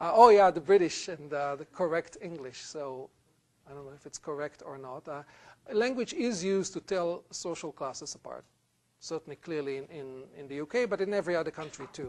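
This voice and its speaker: A man at a fairly quick pace and fairly high pitch, with ordinary pitch variation and big swings in loudness. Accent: Israeli. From Israel. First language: Hebrew. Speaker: university lecturer. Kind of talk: lecture.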